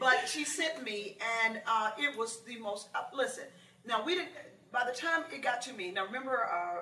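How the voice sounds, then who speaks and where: Amid noticeable background noise and audible room echo, a woman with an American accent and high pitch talks at a moderate pace with lively intonation. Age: 60s. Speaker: author and movie producer. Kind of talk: interview.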